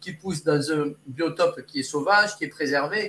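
A man's high-pitched voice at a moderate pace. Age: 60s. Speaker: olfactotherapist. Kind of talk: interview. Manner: halting.

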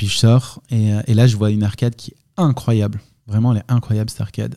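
A man with a dark, mellow tone at medium pitch and moderate pace, intonation fairly even, in a very clean recording with a silent background. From southern France, Provence. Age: 30s. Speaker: coffee roaster and entrepreneur. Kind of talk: interview. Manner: hesitant, many fillers.

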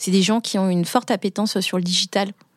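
A woman talks at a very fast pace, her pitch medium and her intonation fairly even. The sound is dry and close, with no echo. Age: 30s. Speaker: business lawyer. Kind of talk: interview. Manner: hesitant, many fillers.

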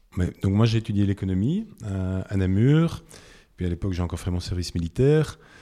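In a very clean recording with a silent background, a man with a fairly low pitch and a dark, mellow tone talks at a fairly quick pace with lively intonation. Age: 50s. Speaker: entrepreneur, supermarket co-founder. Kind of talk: interview. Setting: in a shop.

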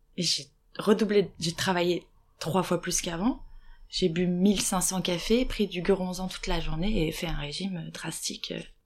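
At a very slow pace, a woman of medium pitch speaks with fairly even intonation. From Lorraine, France (small town). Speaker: actress. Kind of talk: testimony. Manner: hesitant.

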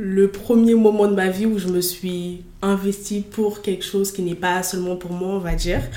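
Audible room echo and noticeable background noise accompany a woman speaking at a medium pitch and a moderate pace. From Paris region suburbs. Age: 20s. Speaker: student, association director. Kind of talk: casual interview.

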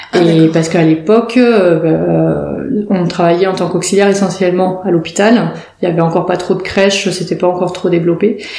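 Fairly quick and monotone, a woman's voice sits at a fairly low pitch. Audible room echo and noticeable background noise accompany her. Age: 40s. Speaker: perinatal support worker. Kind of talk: interview. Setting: in person in her office. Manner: halting.

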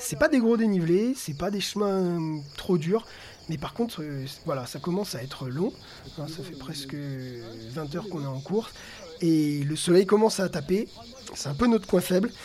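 With a high pitch and lively intonation, a man speaks at a moderate pace, his loudness swinging widely. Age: 40s. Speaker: PE teacher and adventure racer. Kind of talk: personal race narrative. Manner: animated.

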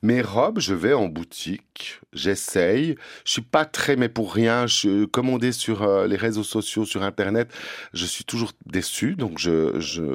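With lively intonation, a man speaks very slowly in a dry, close, echo-free recording that is very clean with a silent background. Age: 50s. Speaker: drag performer and prevention worker. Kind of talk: interview. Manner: halting.

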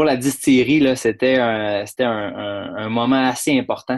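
The intonation stays fairly even. Delivery comes at a moderate pace. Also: man. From Quebec, Saguenay-Lac-Saint-Jean. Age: young. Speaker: distillery owner. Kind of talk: interview. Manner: halting, many repetitions.

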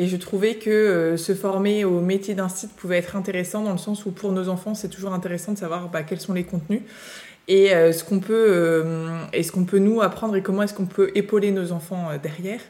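A woman with a medium pitch keeps a monotone, flat intonation while talking at a moderate pace. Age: 30s. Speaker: school founder and teacher. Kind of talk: interview.

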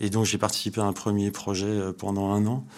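This is a man's voice. His pitch sits fairly low. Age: 50s. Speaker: startup co-founder and energy engineer. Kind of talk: interview. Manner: hesitant, many repetitions.

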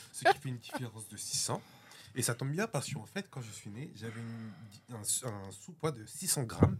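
At a moderate pace with long, frequent pauses, the voice has lively intonation and big swings in loudness over noticeable background noise. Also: man, medium pitch for a man. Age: 20s. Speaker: guest. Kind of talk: casual debate.

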